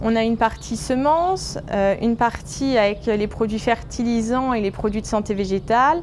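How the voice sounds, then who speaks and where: The speaker moves at a moderate pace with ordinary pitch variation. Noticeable background noise runs underneath. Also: woman. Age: 20s. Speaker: grain silo manager. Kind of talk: workplace interview. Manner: hesitant, many filler sounds.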